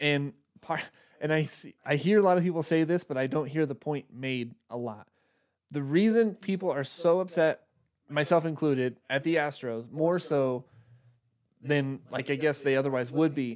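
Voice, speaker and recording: This is a normal speaking voice from a man, fairly high in pitch. He keeps a moderate pace with ordinary pitch variation. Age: 30s. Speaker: sports podcast host. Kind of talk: casual chat. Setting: live stream on laptop.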